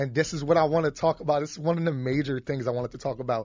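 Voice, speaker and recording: A very fast-talking man with a Philadelphia accent and a fairly high pitch. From Philadelphia, Kensington. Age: 20s. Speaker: podcast host. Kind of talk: casual chat. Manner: animated.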